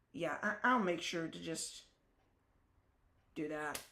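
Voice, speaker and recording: Fairly slow speech from a woman with a very deep, low voice, in audible room echo. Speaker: ham radio operator livestreamer. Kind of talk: live stream with radio calls. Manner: casual, rambling with fillers. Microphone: built-in laptop microphone.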